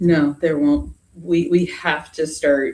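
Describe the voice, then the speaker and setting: With a very deep, low pitch for a woman, she speaks in a dark, mellow tone and a flat monotone. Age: 30s. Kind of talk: casual interview chat.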